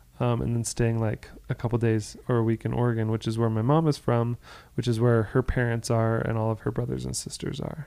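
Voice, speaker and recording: Speaking at a fairly quick pace, a man with an American accent has a medium-pitched voice and a dark, mellow tone. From Florida, US. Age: 30s. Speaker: podcast co-host. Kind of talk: casual chat.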